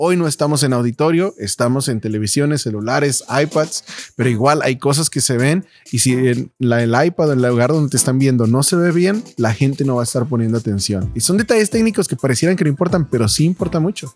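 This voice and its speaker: Music plays in the background as a man speaks with lively intonation in a dry, close sound with no echo. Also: medium pitch for a man, very even loudness. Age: 30s. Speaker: church media podcast co-host. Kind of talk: casual chat.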